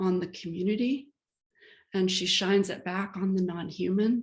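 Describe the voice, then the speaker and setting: Somewhat breathy, a woman talks at a medium pitch. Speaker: lecture series host introducing a guest artist. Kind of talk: speaker introduction at a lecture. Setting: video call. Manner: hesitant, many fillers.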